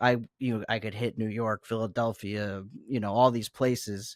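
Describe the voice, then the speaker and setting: On a very clean recording with a silent background, a man with an American accent uses an ordinary speaking voice at medium pitch with fairly even intonation, the sound dry and close with no echo. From US South. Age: 30s. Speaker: musician. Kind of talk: interview.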